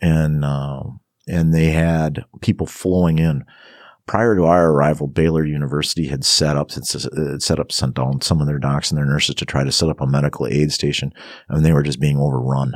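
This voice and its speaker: A man with an American accent speaks at a fairly quick pace in a very deep, low voice, his intonation fairly even. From northern Wisconsin. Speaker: fire captain and paramedic. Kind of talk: interview. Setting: studio. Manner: halting.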